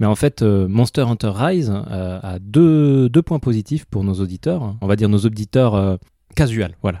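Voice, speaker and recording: Dark, mellow tones from a man, fairly low in pitch and lively in intonation. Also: fairly slow pace, dry, close sound with no echo. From southwestern France (Pau, Marmande). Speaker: podcast co-host. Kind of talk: casual chat. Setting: remote recording.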